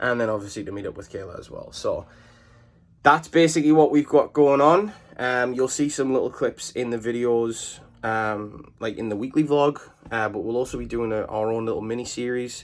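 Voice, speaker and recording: Speaking at a moderate pace with an English accent, a medium-pitched man lets his loudness swing widely. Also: ordinary pitch variation. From England. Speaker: vlogger. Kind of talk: casual vlog talk to camera. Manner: hesitant, many fillers.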